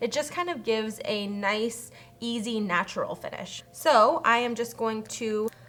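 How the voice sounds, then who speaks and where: Over noticeable background noise, a woman speaks in a fairly high voice. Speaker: beauty youtuber. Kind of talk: makeup tutorial. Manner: fast.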